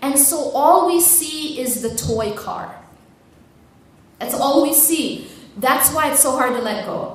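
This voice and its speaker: Noticeable background noise surrounds a woman speaking very slowly, with long, frequent pauses. Her pitch is high, with ordinary variation. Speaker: Islamic lecturer. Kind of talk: Islamic lecture / motivational talk to an audience.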